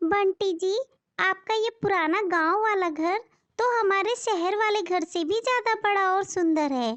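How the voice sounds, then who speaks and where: At a fairly slow pace, a woman performs a cartoonish character voice pitched extremely high. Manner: warm, soothing.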